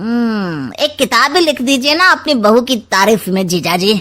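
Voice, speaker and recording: Using a cartoonish character voice, a woman speaks at a moderate pace with a fairly high pitch, very wide pitch swings and very even loudness. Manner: sly, teasing.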